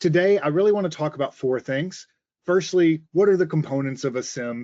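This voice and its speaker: With an American accent, a man speaks at a very fast pace. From Mississippi, US South. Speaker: sales engineer. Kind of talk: webinar presentation. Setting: online webinar. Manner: frequent filler uhs.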